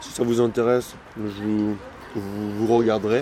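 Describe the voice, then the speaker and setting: Against noticeable background noise, a man with a slight Alsatian accent speaks at medium pitch with fairly even intonation. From Alsace, France. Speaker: food vlogger, baker. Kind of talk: mukbang casual chat. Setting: eating at a fast-food restaurant in Switzerland. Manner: eating while talking.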